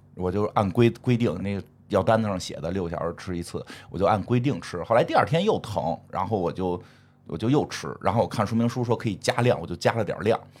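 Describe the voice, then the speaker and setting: Speaking at a fairly quick pace, a man with a fairly low voice sounds animated. His pitch varies in an ordinary way. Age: 40s. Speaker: podcast host. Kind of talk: casual chat.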